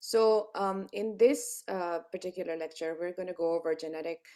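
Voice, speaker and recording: The recording is very clean, with a silent background. A woman speaks in a dark, mellow tone with ordinary pitch variation. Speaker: cardiologist lecturer. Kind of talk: lecture. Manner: hesitant fillers; soft-spoken.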